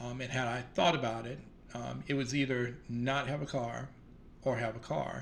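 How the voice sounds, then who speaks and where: A somewhat breathy man's voice at medium pitch and moderate pace, with an American accent, monotone, flat intonation and audible room echo. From US South. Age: 60s. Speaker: vlogger. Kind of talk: casual monologue. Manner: hesitant, many fillers.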